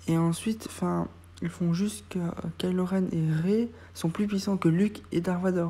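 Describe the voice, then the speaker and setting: Fairly low in pitch and somewhat breathy, a woman with a dark, mellow tone speaks slowly-ish and with fairly even intonation. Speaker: YouTuber reviewing TV episodes. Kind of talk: casual review monologue. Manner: hesitant, many fillers.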